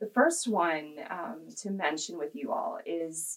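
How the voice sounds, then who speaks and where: A woman speaks with a Midwestern US accent. Her intonation is lively. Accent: US Midwest. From Kansas. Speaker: health policy advocate. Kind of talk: interview.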